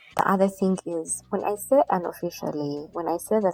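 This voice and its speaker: The speaker has a Ugandan accent and talks at a moderate pace with ordinary pitch variation. The sound is dry and close, with no echo. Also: woman. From Uganda (Buganda). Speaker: podcaster. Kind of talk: casual monologue. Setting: at home on her bed. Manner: unscripted, informal.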